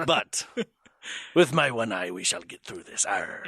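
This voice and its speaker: A man's raspy, put-on character voice, fairly high in pitch, at a moderate pace. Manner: playful, exaggerated.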